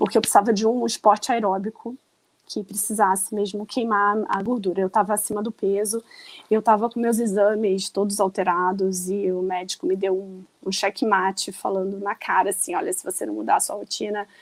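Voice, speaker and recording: A woman's medium-pitched voice in a monotone, flat intonation at a moderate pace, with a dry, close sound and no echo. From Rio de Janeiro, Brazil. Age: 40s. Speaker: runner and online shop owner. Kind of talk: podcast interview.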